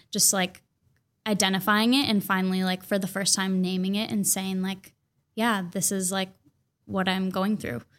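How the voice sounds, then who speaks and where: A woman's plain, everyday voice at a moderate pace and medium pitch, with fairly even intonation, on a very clean recording with a silent background. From Minnesota, suburbs of Minneapolis. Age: 20s. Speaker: poet and writer. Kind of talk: casual interview chat.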